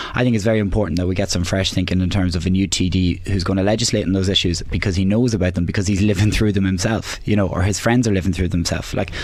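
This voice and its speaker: Over noticeable background noise and audible room echo, a man with an Irish accent and a very deep, low pitch talks very fast with hardly any pauses, fairly even intonation, and very even loudness. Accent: Irish (Louth). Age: 20s. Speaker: election candidate, local councillor. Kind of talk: radio debate. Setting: radio studio.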